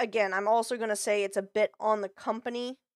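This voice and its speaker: A woman at a moderate pace with fairly even intonation, in dry, close sound with no echo. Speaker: vtuber streamer. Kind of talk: reaction stream commentary. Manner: halting.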